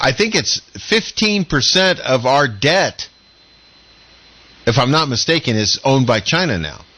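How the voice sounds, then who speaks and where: Amid noticeable background noise, someone with an American accent speaks at a fairly slow pace, with very wide pitch swings and long, frequent pauses. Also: man. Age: 60s. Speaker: radio talk show host. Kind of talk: radio panel discussion.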